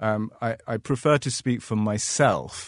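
A man with a London accent speaks at a very slow pace in a medium pitch. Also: quiet background. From London, England. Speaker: art gallery owner. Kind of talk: panel discussion. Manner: halting, many fillers.

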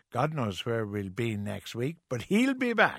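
With lively intonation and an Irish accent, a man speaks at a medium pitch in a dry, close sound with no echo. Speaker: radio host. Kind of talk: casual chat.

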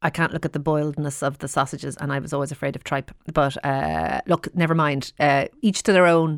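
A woman speaks with an Irish accent at a moderate pace. The sound is dry and close, with no echo. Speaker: radio host. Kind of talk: radio phone-in chat.

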